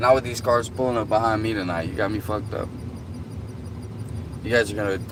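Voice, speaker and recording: Delivered in a Southern US accent with fairly even intonation, the voice carries audible room echo and noticeable background noise. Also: man. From US South. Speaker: livestreamer. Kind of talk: casual chat.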